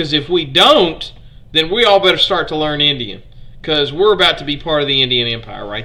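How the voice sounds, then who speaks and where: A man with a strong Southern Alabama accent speaks at a fairly high pitch, with audible room echo. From US South, Alabama. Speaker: history streamer. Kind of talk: live-stream history lecture. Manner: casual, conversational.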